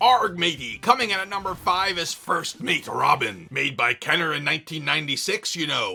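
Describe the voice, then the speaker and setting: A man's put-on character voice, high in pitch, at a moderate pace with hardly any pauses, over light background noise. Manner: jokey.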